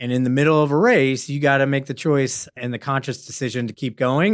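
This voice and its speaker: With an American accent and an unremarkable speaking voice, the speaker talks at a fairly quick pace with ordinary pitch variation on a very clean recording with a silent background. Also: man. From San Francisco, US. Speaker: investment portfolio manager. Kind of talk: interview.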